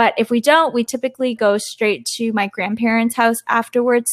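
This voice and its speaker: A woman with a Canadian accent and monotone, flat intonation, in a very clean recording with a silent background and a dry, close sound with no echo. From Toronto, Canada. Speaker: podcast co-host. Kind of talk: casual chat.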